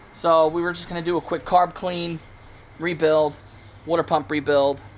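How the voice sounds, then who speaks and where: In monotone, flat intonation, a man talks at a moderate pace. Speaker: DIY mechanic YouTuber. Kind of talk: repair tutorial. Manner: casual, with false starts.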